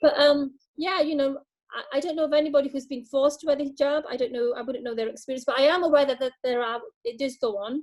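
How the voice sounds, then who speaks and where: A woman with a British accent speaks very fast at a high pitch, with ordinary pitch variation. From UK, British Bangladeshi. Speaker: charity staff member. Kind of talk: video call interview. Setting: video call. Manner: halting, many fillers and repetitions.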